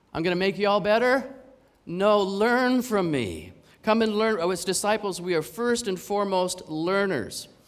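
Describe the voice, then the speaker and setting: Pitched high, a man with a Canadian accent speaks at a moderate pace with ordinary pitch variation and audible room echo. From Canada. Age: 50s. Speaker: preacher. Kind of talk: sermon.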